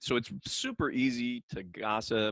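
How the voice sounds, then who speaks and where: Over a quiet background, a man's voice comes across dry and close with no echo. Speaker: leadership coach. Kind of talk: book discussion monologue. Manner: fast; casual, with many fillers.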